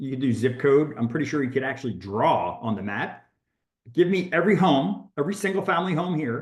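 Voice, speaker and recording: Somewhat breathy and fairly high in pitch, a man's voice swings very widely up and down. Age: 60s. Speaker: real estate agent and coach. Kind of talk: workshop talk. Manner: halting.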